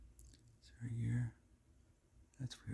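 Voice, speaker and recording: Someone whispers in a relaxed tone. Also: man. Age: 30s. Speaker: ASMR content creator. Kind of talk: casual ASMR ramble, talking to camera about cards. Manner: relaxed, conversational.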